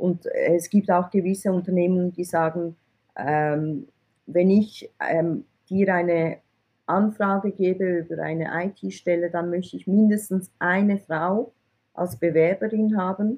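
Very slow, fairly even speech from a woman at a medium pitch. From Switzerland (from Iran, arrived at age eight). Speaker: IT recruiter, entrepreneur. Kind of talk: interview.

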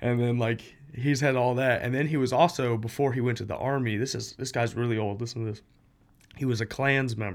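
A man with an American accent talks at a fairly quick pace in an ordinary speaking voice, his medium pitch and fairly even intonation captured on a very clean recording with a silent background. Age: 20s. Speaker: tattoo apprentice and former band vocalist. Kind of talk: casual chat.

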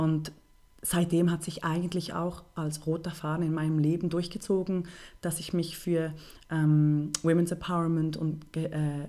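Her voice is very deep and low with a dark, mellow tone, delivered at a fairly slow pace in a flat monotone. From Switzerland, Bern. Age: 30s. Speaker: NGO project manager and filmmaker. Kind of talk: interview.

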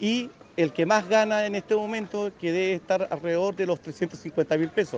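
This man's voice is high in pitch, and his pace is moderate. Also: ordinary pitch variation. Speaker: union delegate. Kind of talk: street interview.

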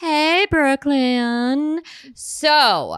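A woman with an American accent speaks in a bright, sharp, animated tone on a very clean recording with a silent background. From Ohio, US Midwest. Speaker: podcast co-host, mother. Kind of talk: casual chat.

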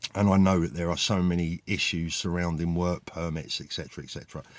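Over a silent background in a very clean recording, a man with a very deep, low pitch speaks at a moderate pace with fairly even intonation. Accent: British. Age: 50s. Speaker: former watch dealer. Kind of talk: casual vlog monologue. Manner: halting, many fillers.

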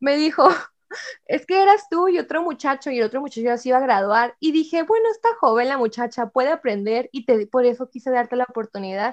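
A woman's high voice, lively in intonation and fairly quick, with a dry, close sound and no echo. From Mexico, Ciudad Juárez, Chihuahua. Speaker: university student. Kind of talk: casual chat.

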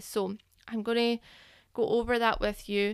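Over a silent background in a very clean recording, a woman with a British accent speaks at a fairly slow pace in a monotone, flat intonation. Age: 30s. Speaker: podcast host, business owner. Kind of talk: solo podcast monologue. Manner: casual, with fillers.

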